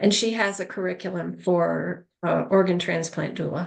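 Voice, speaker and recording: With vocal fry in her voice, a woman talks against a quiet background. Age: 70s. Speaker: end-of-life doula. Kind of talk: casual group chat. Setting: video call.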